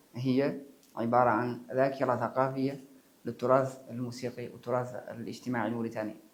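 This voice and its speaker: Monotone, flat delivery at a moderate pace, with audible room echo. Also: man. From Mauritania. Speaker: musician. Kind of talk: interview. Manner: halting.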